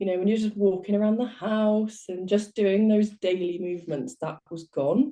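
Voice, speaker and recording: With a British accent and a dark, mellow tone, a woman speaks at a moderate pace in a medium pitch, with ordinary pitch variation. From southwest England. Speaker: life coach. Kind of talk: interview.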